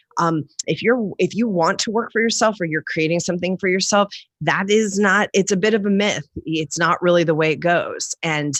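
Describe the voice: A woman with a fairly low pitch and ordinary pitch variation is heard in a dry, close sound with no echo. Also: moderate pace.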